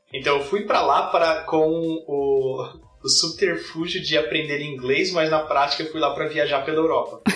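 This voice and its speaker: There is noticeable background noise and audible room echo as a man speaks at a moderate pace, his fairly high voice fairly even in intonation. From Brazil, São Paulo. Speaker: software development manager. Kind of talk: podcast interview.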